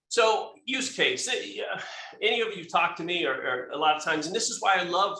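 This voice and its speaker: At a fairly quick pace, the voice moves with lively intonation, backed by noticeable background noise and audible room echo. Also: man. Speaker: company tech expert presenter. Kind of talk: webinar presentation. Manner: fast; hesitant, many fillers and restarts.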